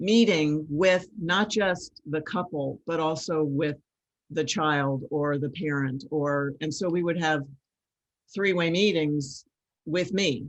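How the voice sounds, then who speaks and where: The speech moves at a very slow pace, with ordinary pitch variation. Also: woman. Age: 60s. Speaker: collaborative lawyer. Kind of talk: casual interview chat. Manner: halting, many fillers.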